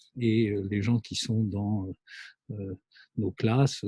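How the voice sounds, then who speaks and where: The voice is a man's, dark and mellow in tone. It comes across somewhat breathy. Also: dry, close sound with no echo. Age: 60s. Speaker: business school lecturer and consultant. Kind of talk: monologue lecture. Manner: hesitant, many fillers.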